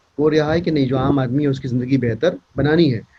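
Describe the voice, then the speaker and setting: A man speaks with a Bihari accent. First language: Bhojpuri (speaking Hindi). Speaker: politician. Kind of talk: speech at event. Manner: hesitant with fillers.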